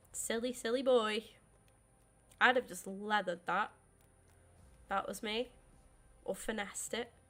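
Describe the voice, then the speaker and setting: A woman's fairly high voice with a British accent, fairly slow with long, frequent pauses, fairly even intonation, and big swings in loudness, in a very clean recording over a silent background. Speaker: gaming streamer. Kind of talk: live gameplay commentary.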